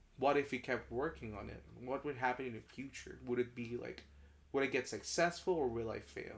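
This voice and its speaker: The voice carries vocal fry and moves at a fairly quick pace. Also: man, medium pitch for a man, ordinary pitch variation. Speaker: podcast co-host and artist. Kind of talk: casual chat.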